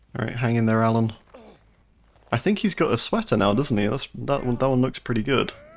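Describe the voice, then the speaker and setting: A man speaks at a fairly quick pace and a medium pitch, with ordinary pitch variation and very even loudness. His long pauses come often, over noticeable background noise. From southern England. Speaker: video game streamer. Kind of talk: live gameplay commentary. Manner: animated.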